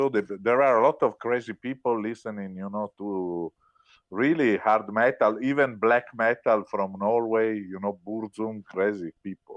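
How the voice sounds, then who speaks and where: A man with an Italian accent and fairly even intonation, in a dry, close sound with no echo and a quiet background. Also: fairly low pitch for a man, fairly slow pace. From Italy. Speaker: rock musician. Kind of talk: interview. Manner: hesitant, many filler words.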